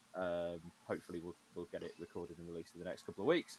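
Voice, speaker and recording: A man's very deep, low voice with an English accent. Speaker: podcast host. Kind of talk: casual chat. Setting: livestream from home. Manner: quiet. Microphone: USB mic, too quiet.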